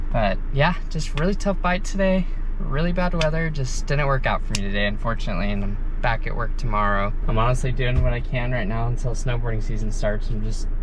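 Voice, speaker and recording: A man speaks at a fairly quick pace, the sound dry with no echo and with noticeable background noise. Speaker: fishing vlogger. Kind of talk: casual vlog chat. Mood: disappointed but upbeat. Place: car. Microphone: phone near.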